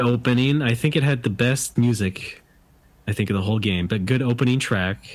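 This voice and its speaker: A man speaks in a normal speaking voice at a medium pitch, with ordinary pitch variation and a moderate pace. His loudness stays very even on a very clean recording with a silent background. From US West Coast. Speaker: game developer. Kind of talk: casual chat.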